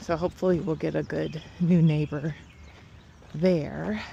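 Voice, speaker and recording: A woman speaks with vocal fry at a very deep, low pitch. Her intonation stays fairly even. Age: 50s. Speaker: lifestyle vlogger. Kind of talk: casual vlog chat. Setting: outdoors walking.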